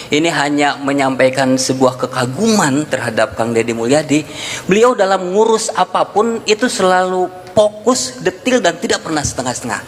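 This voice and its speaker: With noticeable background noise behind him, a man speaks at a moderate pace in a high pitch that swings very widely. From West Java, Sundanese (non-Priangan). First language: Sundanese (speaking Indonesian). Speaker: event speaker. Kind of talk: public speech.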